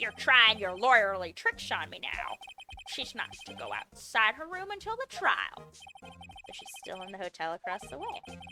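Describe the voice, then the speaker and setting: A gruff, put-on character voice at a moderate pace. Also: woman, fairly high pitch for a woman. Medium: game stream. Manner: gruff, calls everyone pal.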